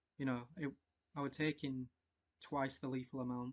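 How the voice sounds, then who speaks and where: A man speaks at medium pitch with a dry, close sound and no echo. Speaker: Orthodox altar server. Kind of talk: personal testimony to camera. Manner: stuttering, hesitant.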